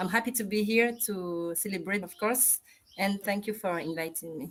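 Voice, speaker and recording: Using ordinary pitch variation, a woman talks at a moderate pace with a French accent. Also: medium pitch for a woman. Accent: French-speaking. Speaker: national president of a civic youth organization. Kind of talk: panel introduction.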